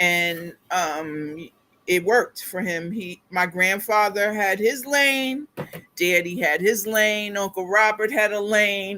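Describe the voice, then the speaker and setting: At a very slow pace, a woman with an American accent speaks at medium pitch with ordinary pitch variation. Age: 60s. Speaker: skincare product seller. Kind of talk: livestream chat. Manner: halting, many fillers.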